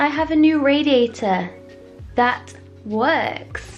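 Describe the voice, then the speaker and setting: A woman speaks with ordinary pitch variation over music in the background. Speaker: artist. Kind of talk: casual vlog talk to camera.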